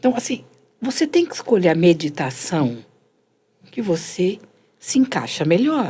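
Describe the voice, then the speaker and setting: With a dark, mellow tone and a somewhat breathy quality, a woman at medium pitch speaks fairly slowly, taking long, frequent pauses and swinging her pitch very widely. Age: 60s. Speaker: meditation and self-development teacher. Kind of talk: conversational explanation.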